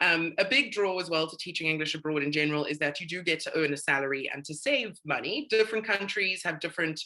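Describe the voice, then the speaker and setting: Noticeable background noise sits behind a woman with a fairly low pitch. She speaks at a very fast pace with hardly any pauses and lively intonation. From South Africa. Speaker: recruitment presenter. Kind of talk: webinar presentation. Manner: casual, filler-heavy.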